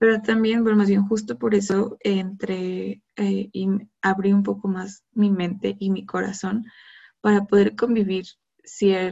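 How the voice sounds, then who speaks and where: The voice is somewhat breathy, with monotone, flat intonation. It moves at a fairly slow pace. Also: woman. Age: 20s. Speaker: podcaster. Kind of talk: casual monologue.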